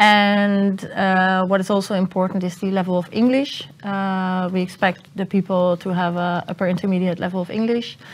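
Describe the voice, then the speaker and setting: At a moderate pace, a woman talks in a flat monotone with hardly any pauses. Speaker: university admissions officer. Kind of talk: panel discussion. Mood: friendly, informative. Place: hall. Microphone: lapel.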